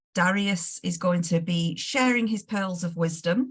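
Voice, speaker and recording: A somewhat breathy woman with a Northwest English accent and ordinary pitch variation. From northern England, Lancashire. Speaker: management consultant, webinar host. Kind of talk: webinar introduction. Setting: video call. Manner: relaxed, friendly.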